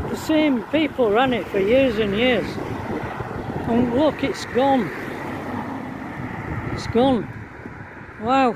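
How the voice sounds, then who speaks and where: The speech comes at a very slow pace with long, frequent pauses, in a dry sound with no echo and noticeable background noise. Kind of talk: casual vlog chat. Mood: nostalgic, amused. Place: street. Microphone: phone near.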